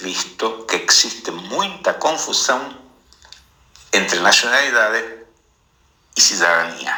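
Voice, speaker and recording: With a non-native accent, a man speaks at a fairly slow pace amid audible room echo. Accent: foreign accent in Portuguese. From Argentina. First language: Spanish (speaking Portuguese). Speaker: visual artist. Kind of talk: interview.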